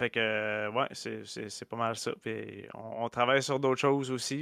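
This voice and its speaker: A man with a Quebec accent, bright and sharp in tone, fairly even in intonation, on a very clean, dry, close recording with no echo and a silent background. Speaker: guitarist and music streamer. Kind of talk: casual chat.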